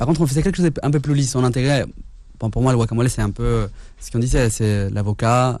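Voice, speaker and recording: Ordinary pitch variation runs through the dark, mellow tone of this man's voice. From Mexico City. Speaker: chef. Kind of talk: casual chat.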